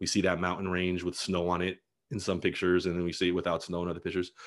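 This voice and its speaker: This man has a very deep, low pitch. Behind him the background stays quiet. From Los Angeles County, California (La Puente/Bassett). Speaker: blogger and dad. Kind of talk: casual interview chat.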